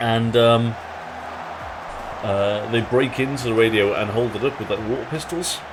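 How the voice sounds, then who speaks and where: A man speaks with an English accent at a medium pitch. Music plays in the background. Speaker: streamer playing football manager game. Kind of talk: live stream commentary. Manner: slurs words; casual, many fillers.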